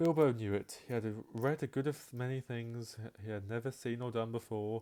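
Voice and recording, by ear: The text is read aloud. It is delivered in a natural voice.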